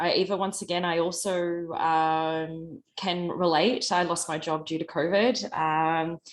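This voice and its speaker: This woman speaks very slowly in an Australian accent. Her pitch is fairly low. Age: 40s. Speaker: beverage startup founder. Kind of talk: panel discussion.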